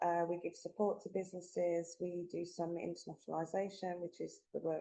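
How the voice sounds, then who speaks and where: A woman speaks with a Birmingham accent. Her tone is dark and mellow. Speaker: tech organisation executive. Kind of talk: webinar presentation.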